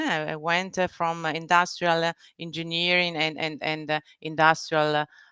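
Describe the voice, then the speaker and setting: A woman with an Italian-Swiss accent, a fairly low pitch and a bright, sharp tone, in a dry, close sound with no echo and a quiet background. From Italian-speaking Switzerland (Ticino, Bellinzona). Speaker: business executive and board member. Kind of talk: interview. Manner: halting, many fillers and restarts.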